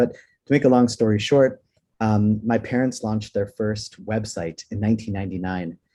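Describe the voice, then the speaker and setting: This man has a fairly low pitch and a dark, mellow tone. He speaks with a Texas accent. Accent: American (Texas). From Houston, Texas, in an immigrant South African family. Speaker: digital marketing professor and agency owner. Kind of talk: webinar interview. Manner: enthusiastic, with frequent fillers.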